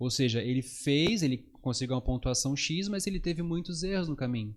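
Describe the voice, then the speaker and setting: A man's fairly high-pitched voice with lively intonation at a fairly quick pace. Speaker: psychologist. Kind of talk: podcast interview. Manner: fast.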